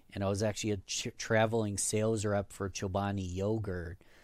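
A man with a fairly low pitch speaks at a moderate pace in a monotone, flat intonation. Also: very clean recording, silent background. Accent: American. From US, western New York (Rochester). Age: 30s. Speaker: podcast host and guest. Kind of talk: interview.

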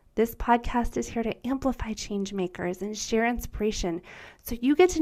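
The voice has an upbeat tone and very wide pitch swings. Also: woman. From US. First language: German. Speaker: podcast host, former teacher. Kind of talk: scripted narration.

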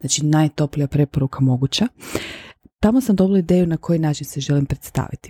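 A woman speaks very fast with a very deep, low pitch and a dark, mellow tone. Her intonation is lively, and the sound is dry and close with no echo. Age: 40s. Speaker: podcast host. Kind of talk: personal monologue. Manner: casual, conversational with English phrases.

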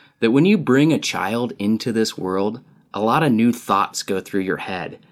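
With lively intonation, a man speaks at a moderate pace and medium pitch in a plain, everyday voice. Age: 30s. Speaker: podcast host. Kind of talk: comedic monologue.

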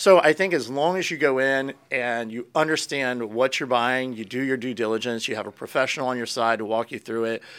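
A man with an American accent and an ordinary speaking voice, medium in pitch, shows big swings in loudness on a very clean recording with a silent background. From Florida and Pennsylvania, US. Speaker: real estate agent. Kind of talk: casual interview chat.

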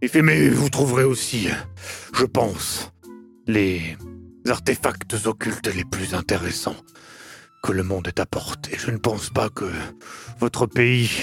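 Faint music plays in the background as a man of medium pitch talks at a fairly slow pace. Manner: intense, grave, hesitant.

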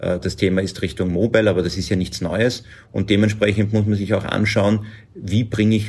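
The voice belongs to a man with fairly low pitch. It sounds somewhat breathy. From Lower Austria. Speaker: agency managing director. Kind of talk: interview.

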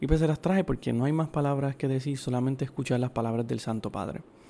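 A man's dark, mellow tone at a fairly high pitch with ordinary pitch variation, on a very clean recording with a silent background. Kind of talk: solo podcast commentary on religious news.

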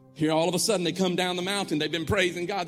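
A man's high-pitched, animated voice over music in the background. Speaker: pastor. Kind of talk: sermon, call-and-response with a live congregation. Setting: church with congregation. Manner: animated, exhorting, rallying the crowd with repeated commands; rhythmic, repetitive, building to emphatic refrains.

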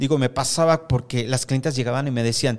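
A man talks at a fairly quick pace in a medium pitch with fairly even intonation. It is a normal speaking voice. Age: 50s. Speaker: hair stylist and salon owner. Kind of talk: casual interview. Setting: studio.

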